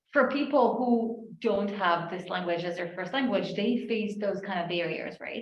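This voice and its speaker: A woman's medium-pitched voice at a fairly slow pace, with ordinary pitch variation and audible room echo. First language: not English. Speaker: AI ethics researcher. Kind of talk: panel discussion.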